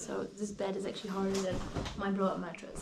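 A woman talks against loud background noise. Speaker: travel vlogger. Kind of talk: casual vlog chat. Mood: relaxed, amused. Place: home room. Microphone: phone near.

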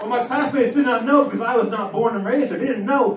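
A man talking very fast amid crowd noise and audible room echo. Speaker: stand-up comedian. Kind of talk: stand-up comedy routine. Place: stage. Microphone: pa.

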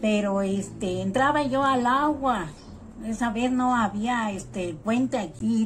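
A woman talks at a very slow pace with ordinary pitch variation. Faint music plays in the background. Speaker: interviewee. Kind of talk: interview answer. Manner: strained, tearful-sounding elderly voice. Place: home room. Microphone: phone near.

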